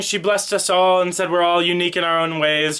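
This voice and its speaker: A man speaks over noticeable background noise. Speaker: vlogger. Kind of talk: casual talk to camera. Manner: fast.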